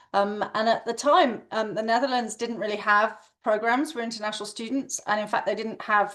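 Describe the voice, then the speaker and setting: In a West London accent, a woman speaks at a moderate pace and a fairly high pitch with ordinary pitch variation. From England, West London. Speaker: education executive. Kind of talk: webinar panel talk. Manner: hesitant, many fillers.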